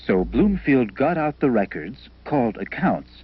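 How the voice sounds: A man's medium-pitched voice with a slightly husky edge, big pitch swings and a fairly slow pace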